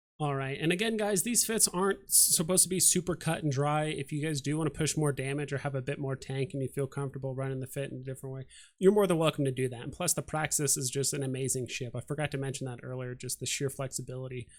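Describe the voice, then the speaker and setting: A man with a fairly high pitch talks at a very fast pace with hardly any pauses. The recording is very clean with a silent background, and his pitch variation is ordinary. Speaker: gaming YouTuber. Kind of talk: tutorial. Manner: casual, many fillers.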